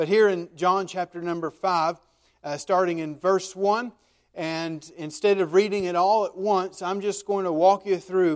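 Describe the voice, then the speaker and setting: On a very clean recording with a silent background, a man with an American accent speaks at a fairly slow pace in a high pitch, his intonation fairly even. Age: 30s. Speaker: pastor. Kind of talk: sermon. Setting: church. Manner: halting.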